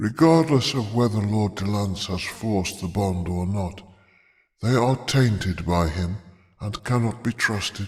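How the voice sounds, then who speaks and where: In a put-on character voice, a man speaks at a fairly slow pace with a fairly low pitch, on a very clean recording with a silent background. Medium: read story. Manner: cold, imperious.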